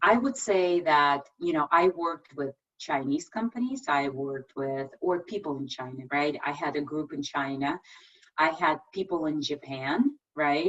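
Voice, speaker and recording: A woman with a non-native accent speaks in a very deep, low voice with ordinary pitch variation. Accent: foreign. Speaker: tech executive. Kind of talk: presentation and Q&A.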